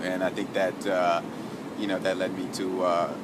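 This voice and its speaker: A man with a New York accent at a moderate pace, amid noticeable background noise and audible room echo. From New York City (Harlem, Bronx). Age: 20s. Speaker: shelter resident and charity runner. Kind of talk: personal testimony interview. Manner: halting, many fillers and repetitions.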